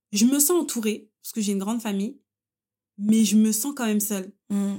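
Ordinary pitch variation in a dark, mellow tone, very cleanly recorded with a silent background. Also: woman. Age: 20s. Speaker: person sharing a personal story. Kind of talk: personal testimony in casual chat.

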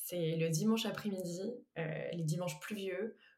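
In a plain, everyday voice, the speaker talks at a moderate pace with fairly even intonation. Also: woman. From western France, Anjou. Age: 20s. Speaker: entrepreneur. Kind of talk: casual chat.

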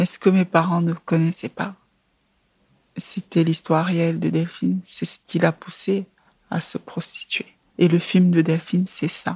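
A woman speaks in a fairly low pitch, somewhat breathy, with a dark, mellow tone and monotone, flat intonation. She pauses long and often, and the sound is dry and close with no echo. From Cameroon, Yaoundé. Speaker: film director. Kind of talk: interview. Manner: halting, frequent hesitations.

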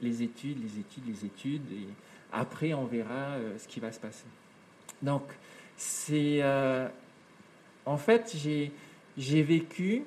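Ordinary variation shapes the pitch. The delivery moves fairly slowly. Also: man. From French Polynesia. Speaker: entrepreneur and environmental news show presenter. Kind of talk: interview conversation. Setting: home studio.

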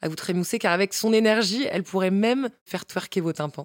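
Lively in intonation and moderate in pace, a woman talks in a normal speaking voice. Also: dry, close sound with no echo. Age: 30s. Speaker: podcast host and author. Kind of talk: casual interview; scripted intro.

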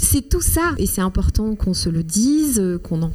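Against noticeable background noise, the speech moves at a moderate pace with lively intonation. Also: woman. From Rwanda. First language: Kinyarwanda (speaking French). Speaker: writer. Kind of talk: interview.

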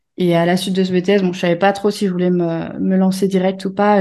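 A woman with a medium-pitched voice and a dark, mellow tone talks at a fairly quick pace against a quiet background. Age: 30s. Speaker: graphic designer. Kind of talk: casual interview.

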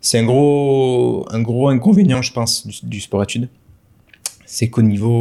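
A man speaks at a fairly slow pace in a dark, mellow tone, his intonation fairly even. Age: 30s. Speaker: wedding videographer. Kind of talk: casual interview. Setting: at the guest's home. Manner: halting.

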